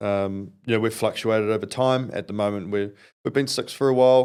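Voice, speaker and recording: A man with a New Zealand accent speaks with fairly even intonation over a silent background in a very clean recording. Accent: Kiwi. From New Zealand, South Auckland. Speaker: construction company founder. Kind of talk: podcast interview. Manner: halting, many fillers and repeats.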